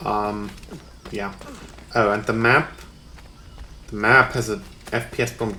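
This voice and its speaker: A man speaks at a moderate pace. Audible room echo and noticeable background noise accompany him. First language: German. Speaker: gaming YouTuber. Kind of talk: let's play commentary. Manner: hesitant, many fillers.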